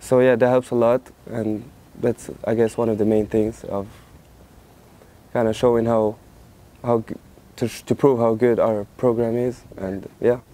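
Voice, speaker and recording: This man has a medium pitch and a dark, mellow tone, speaking in a monotone, flat way. His pace is moderate, broken by long, frequent pauses. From Morocco, Casablanca. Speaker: college tennis player. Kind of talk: interview. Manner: halting, many repeats and fillers.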